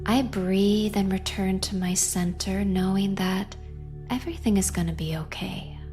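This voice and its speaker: Music plays in the background as a woman speaks. Her pace is fairly slow and her tone calm and soothing. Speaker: hypnotherapist and meditation guide. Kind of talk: guided meditation and affirmations. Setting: studio with background music. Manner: calm, slow, soothing.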